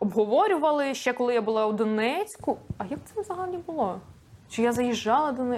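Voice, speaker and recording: The voice makes very wide pitch swings at a fairly quick pace. Noticeable background noise runs underneath. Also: woman, high pitch for a woman. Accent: Russian. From Donetsk, eastern Ukraine. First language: Russian (speaking Ukrainian). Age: 30s. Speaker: esports reporter and analyst. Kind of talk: interview. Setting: bar.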